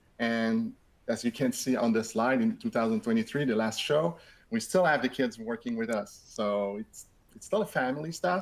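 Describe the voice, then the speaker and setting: A man speaks in a French Canadian accent. His intonation is lively. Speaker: software company co-founder. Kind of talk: webinar presentation. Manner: halting, many repetitions.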